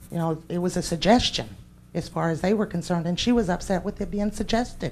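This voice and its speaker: Vocal fry runs through this very fast delivery. The pitch varies in an ordinary way. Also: woman, fairly low pitch for a woman. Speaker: parent speaking at public comment. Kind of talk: public comment at board meeting. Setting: school board meeting room. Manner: loud; animated.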